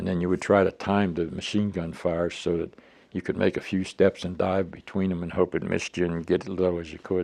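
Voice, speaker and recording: Over a quiet background, a man with an American accent talks at a fairly quick pace in a very deep, low pitch with monotone, flat intonation. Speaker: war veteran. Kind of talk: testimony. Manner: halting.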